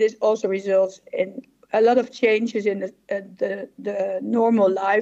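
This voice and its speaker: A woman with a Dutch accent and fairly even intonation. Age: 60s. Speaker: psychologist and professor. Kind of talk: conference presentation. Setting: symposium stage with audience.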